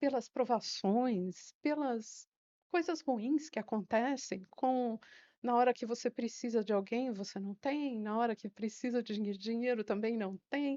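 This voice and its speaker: At a fairly slow pace, a woman with a fairly high pitch and ordinary pitch variation speaks in a normal speaking voice. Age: 60s. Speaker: retired secretary and teacher. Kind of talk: interview.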